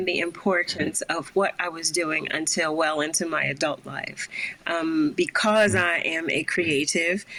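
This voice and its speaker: A woman with an American accent and fairly low pitch at a fairly slow pace, against noticeable background noise. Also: fairly even intonation. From Philadelphia. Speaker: singer-songwriter. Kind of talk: interview answer.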